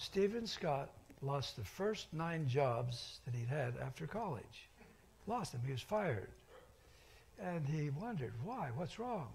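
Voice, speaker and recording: Somewhat breathy and fairly high-pitched, a man speaks fairly slowly with very wide pitch swings, and audible room echo surrounds him. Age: 80s+. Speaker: pastor. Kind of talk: sermon. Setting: church.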